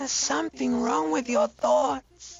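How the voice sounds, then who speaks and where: A female-sounding voice performs a put-on character voice. The pitch sits fairly high. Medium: video game. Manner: dry, sardonic.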